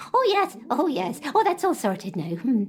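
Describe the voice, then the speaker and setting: A woman does a put-on character voice, high-pitched with very wide pitch swings, at a moderate pace over light background noise. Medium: audio drama. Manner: hesitant, stammering.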